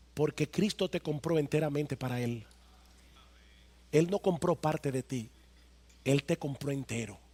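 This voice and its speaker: A man with a fairly high pitch and ordinary pitch variation speaks at a fairly slow pace with long, frequent pauses, his voice somewhat breathy and the sound dry and close with no echo. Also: very clean recording, silent background. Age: 50s. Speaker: pastor. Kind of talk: sermon. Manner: emphatic, repetitive.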